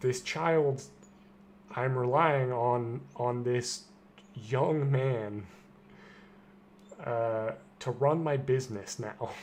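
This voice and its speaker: A man's medium-pitched voice, very slow, with long, frequent pauses, ordinary pitch variation, and audible room echo. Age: 20s. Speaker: gaming streamer. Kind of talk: casual chat. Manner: halting.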